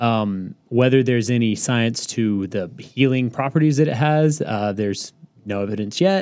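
At a moderate pace, a man with a normal speaking voice talks at medium pitch with lively intonation. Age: 30s. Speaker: accountant (CPA). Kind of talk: casual chat.

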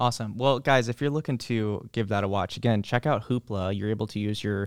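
An unremarkable speaking voice at a fairly quick pace, with fairly even intonation and a dry, close sound with no echo, in a very clean recording over a silent background. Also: man. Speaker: library podcast host. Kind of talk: casual chat. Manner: friendly, conversational.

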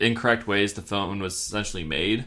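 The speaker is a man. A bright, sharp tone marks his voice. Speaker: podcast host. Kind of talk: casual chat. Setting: home recording, not a studio. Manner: casual, laid-back.

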